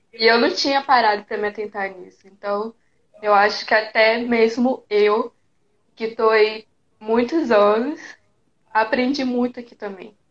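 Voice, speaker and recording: Speaking at a fairly slow pace with long, frequent pauses, a woman keeps a fairly high pitch and fairly even intonation while her loudness swings widely. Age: 20s. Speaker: guest, makeup artist and photographer. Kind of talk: casual live chat. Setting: live video stream. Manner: shy.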